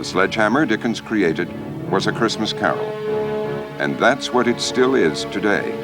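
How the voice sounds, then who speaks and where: A man in a fairly low pitch with very wide pitch swings, long, frequent pauses and a moderate pace, over music in the background. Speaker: TV host. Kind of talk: documentary narration.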